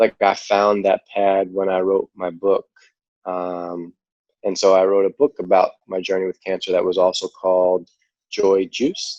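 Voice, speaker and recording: A man with a New York accent, very deep and low in pitch, flat and monotone, at a fairly slow pace, with a dry, close sound and no echo. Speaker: cancer survivor and charity founder. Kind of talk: podcast interview.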